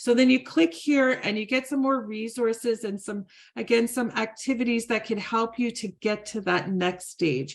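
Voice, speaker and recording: At a moderate pace, a woman with a normal speaking voice talks at fairly high pitch with ordinary pitch variation against a quiet background. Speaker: conference presenter. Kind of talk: presentation with website demo.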